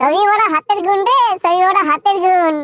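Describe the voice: A woman does a squeaky, cartoonish character voice at an extremely high pitch and a moderate pace, with a dry, close sound and no echo.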